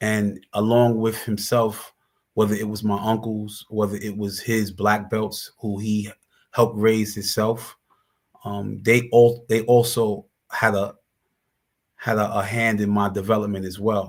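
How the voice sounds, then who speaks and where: In a New York accent, a man speaks slowly-ish at a fairly low pitch with monotone, flat intonation. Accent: New York City. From Brooklyn, New York (East New York). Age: 40s. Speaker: former prisoner and justice advocate. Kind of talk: interview. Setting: live stream. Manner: halting, with frequent repetitions.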